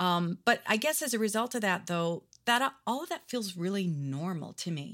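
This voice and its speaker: Over a silent background in a very clean recording, a woman with an American accent talks at a moderate pace and medium pitch, her pitch swinging very widely. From Arizona and Oregon, US. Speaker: jazz vocalist and songwriter. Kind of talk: casual interview chat. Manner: halting, many fillers.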